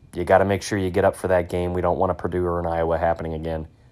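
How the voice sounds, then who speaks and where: Very fast and monotone, a man talks in a very deep, low voice with a Midwestern American accent. His flat intonation comes through on a very clean recording with a silent background. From Northeast Ohio. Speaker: podcast host. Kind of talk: casual monologue. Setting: home man cave. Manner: casual, filler-heavy.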